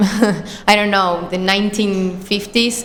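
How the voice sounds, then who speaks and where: A woman with an Argentine accent speaks at a medium pitch with monotone, flat intonation. Noticeable background noise runs behind her. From small town in Argentina. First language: Spanish. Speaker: student. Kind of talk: podcast interview answer.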